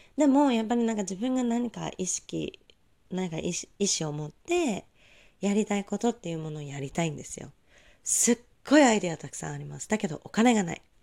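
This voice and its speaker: A woman talks at a fairly quick pace in a dark, mellow tone and medium pitch, with very wide pitch swings and big swings in loudness. The recording is very clean, with a silent background. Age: 20s. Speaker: solo podcaster, freelancer. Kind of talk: solo monologue podcast. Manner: casual, polite.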